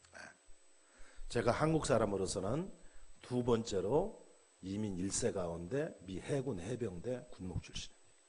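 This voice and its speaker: In a room with audible echo, a man speaks in an animated, somewhat breathy tone with lively intonation and long, frequent pauses. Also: medium pitch for a man, fairly slow pace. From South Korea. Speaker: pastor. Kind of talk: sermon.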